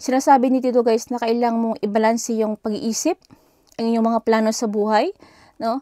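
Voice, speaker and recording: A woman's dark, mellow voice, fairly high in pitch and fairly even in intonation, at a fairly quick pace, with a dry, close sound and no echo. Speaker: tarot reader. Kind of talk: tarot reading. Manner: halting.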